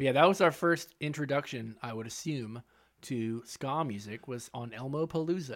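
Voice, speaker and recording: Recorded very cleanly against a silent background, a man with an unremarkable speaking voice and medium pitch talks at a moderate pace, with ordinary pitch variation and big swings in loudness. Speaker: podcast host. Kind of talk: casual banter podcast.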